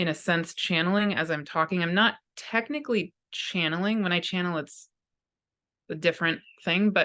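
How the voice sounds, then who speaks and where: A woman with a bright, sharp tone and fairly low pitch speaks at a moderate pace with ordinary pitch variation against a quiet background. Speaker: spiritual teacher and astrologer. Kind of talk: spoken channeled talk to viewers. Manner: frequent pauses.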